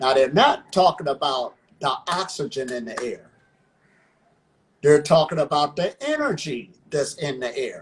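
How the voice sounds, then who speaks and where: Somewhat breathy and with an American accent, the speaker leaves long, frequent pauses. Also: man, fairly high pitch for a man, ordinary pitch variation. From Ohio, US. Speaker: breatharian practitioner. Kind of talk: interview.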